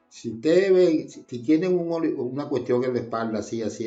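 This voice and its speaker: With music in the background, a man speaks at a fairly quick pace. His intonation is lively. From Venezuela, La Guaira. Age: 80s+. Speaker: disaster survivor. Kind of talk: testimony. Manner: halting, many repetitions.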